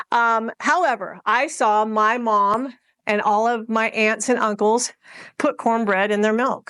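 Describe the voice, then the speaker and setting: Against a quiet background, a woman with a fairly high, bright and sharp voice speaks fairly slowly at a very even loudness. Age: 60s. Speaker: social media marketing trainer. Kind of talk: workshop presentation. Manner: animated.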